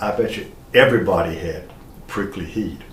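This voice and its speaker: A man with an American accent speaks at a moderate pace. Room echo is audible. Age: 70s. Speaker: historian. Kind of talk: lecture.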